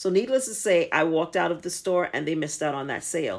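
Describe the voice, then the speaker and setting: A woman talks at a fairly quick pace in an ordinary speaking voice, fairly low in pitch with ordinary variation. The recording is very clean, with a silent background. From United States. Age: 50s. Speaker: travel vlogger. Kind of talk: casual vlog talk to camera.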